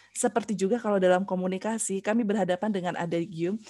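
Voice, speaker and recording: A somewhat breathy woman with a dark, mellow tone at a very fast pace, against a quiet background. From Central Java and Bandung, West Java; West Java, Indonesia. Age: 50s. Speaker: university lecturer. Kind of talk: lecture. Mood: warm, friendly. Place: home room. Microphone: headset.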